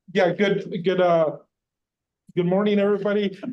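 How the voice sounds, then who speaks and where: A man talks loudly at a very fast pace. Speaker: labor union representative giving public comment. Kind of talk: public comment at a board meeting. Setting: meeting room, in person.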